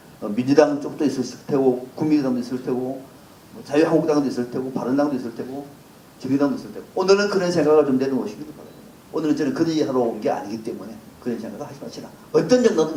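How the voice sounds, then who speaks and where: In a Gyeongsang accent, a man with a fairly high pitch talks very fast, with ordinary pitch variation and big swings in loudness, amid noticeable background noise and audible room echo. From South Gyeongsang, Korea (Sancheong). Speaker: political commentator. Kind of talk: lecture.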